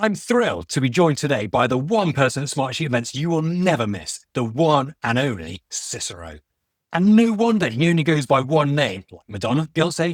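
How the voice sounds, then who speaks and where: A man speaks at a moderate pace with fairly high pitch and very wide pitch swings. The sound is dry and close with no echo, on a very clean recording with a silent background. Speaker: podcast host. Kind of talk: podcast host interview.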